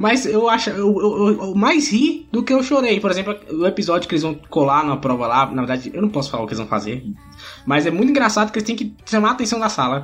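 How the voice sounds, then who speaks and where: A man's high-pitched voice at a very fast pace, very wide pitch swings, and music in the background. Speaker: podcaster. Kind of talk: casual chat.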